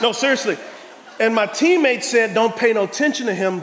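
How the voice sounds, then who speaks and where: An animated man with a high pitch and an American accent, lively intonation, audible room echo and noticeable background noise. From Texas, San Antonio. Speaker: pastor. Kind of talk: sermon. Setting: church.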